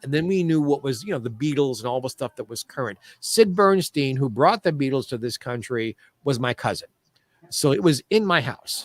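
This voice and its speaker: A man with an American accent talks in a normal speaking voice, fairly high in pitch, with lively intonation at a moderate pace. The sound is dry and close, with no echo. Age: 60s. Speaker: show business historian. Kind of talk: interview.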